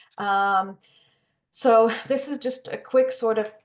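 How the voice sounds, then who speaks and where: A woman speaks with ordinary pitch variation. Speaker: webinar presenter on research funding. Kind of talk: webinar presentation. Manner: fast.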